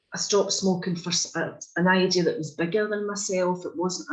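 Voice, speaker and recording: The speaker has a Scottish accent and keeps a moderate pace. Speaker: workshop participant. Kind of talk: group discussion.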